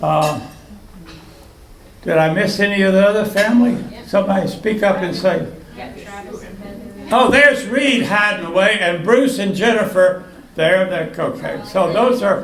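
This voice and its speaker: With noticeable background noise and audible room echo, the speaker keeps a moderate pace, ordinary pitch variation and long, frequent pauses. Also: man, high pitch for a man. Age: 80s+. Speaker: birthday honoree. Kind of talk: speech to party guests. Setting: birthday party with audience. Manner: halting.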